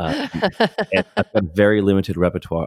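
The recording is very clean, with a silent background and a dry, close sound with no echo. A man talks at a fairly quick pace with ordinary pitch variation. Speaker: jazz musician, show leader. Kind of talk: casual interview.

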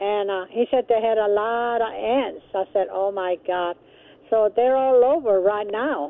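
A woman with an unremarkable speaking voice, fairly high pitch, ordinary pitch variation and a fairly slow pace. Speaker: caller. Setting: phone call.

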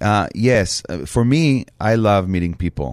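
A man at a very slow pace, dry and close with no echo, over a quiet background. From Israel. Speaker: chef and restaurant owner. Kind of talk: interview conversation. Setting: studio. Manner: halting; blunt, direct.

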